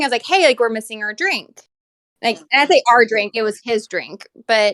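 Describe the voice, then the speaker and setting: A woman's high voice at a fairly quick pace, dry and close with no echo. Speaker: podcast guest. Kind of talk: casual chat. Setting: studio.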